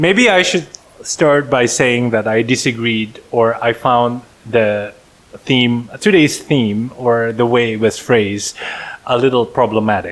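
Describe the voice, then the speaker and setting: With an Indonesian accent, a man speaks fairly slowly, his loudness very even and his pitch varying in an ordinary way. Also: medium pitch for a man. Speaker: podcast co-host. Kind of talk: casual chat.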